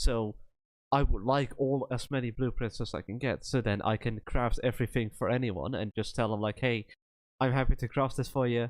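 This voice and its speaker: With a Dutch accent, a man of medium pitch speaks at a moderate pace with fairly even intonation. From Netherlands. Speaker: streamer. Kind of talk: casual chat. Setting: Discord voice chat during live stream.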